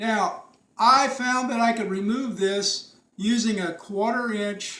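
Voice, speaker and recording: A man's high, raised, projected voice, bright and sharp in tone, with ordinary pitch variation, at a very slow pace in audible room echo. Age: 70s. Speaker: retired DIY car repairer. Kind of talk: tutorial. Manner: casual.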